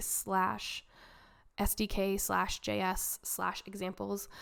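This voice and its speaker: A woman is captured in a very clean recording, the background silent. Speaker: blockchain developer. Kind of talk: tutorial. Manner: casual.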